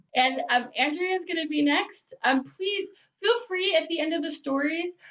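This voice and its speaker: A woman speaks loudly. Her pace is fairly slow. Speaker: storytelling show host. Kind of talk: casual hosting.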